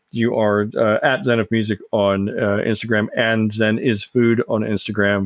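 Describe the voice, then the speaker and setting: A man talks at a moderate pace in a fairly low pitch, with monotone, flat intonation, hardly any pauses and very even loudness. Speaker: podcast host. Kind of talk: casual chat.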